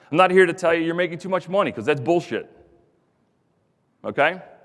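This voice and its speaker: A man with a Philadelphia accent speaks in a high pitch with an animated tone. The recording is very clean, with a silent background. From US Northeast, Philadelphia. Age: 40s. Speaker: contractor executive, former pipefitter apprentice. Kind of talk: conference speech. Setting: stage with audience. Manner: fast.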